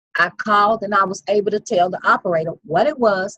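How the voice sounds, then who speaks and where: A woman with an unremarkable speaking voice talks fairly quickly at medium pitch with ordinary pitch variation, in a dry, close sound with no echo. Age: 50s. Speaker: investor sharing success story. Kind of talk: interview. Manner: conversational, repetitive.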